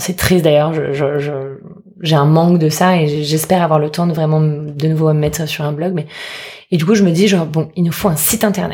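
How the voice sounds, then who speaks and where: This woman talks fairly quickly with a very deep, low pitch and fairly even intonation. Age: 30s. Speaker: food entrepreneur, former lawyer. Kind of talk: casual interview.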